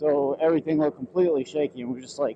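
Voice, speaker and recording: Noticeable background noise sits behind the speaker. He is a man with a fairly high pitch. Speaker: motorcycle vlogger. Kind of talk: casual riding vlog commentary. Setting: riding a motorcycle, helmet POV. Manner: loud.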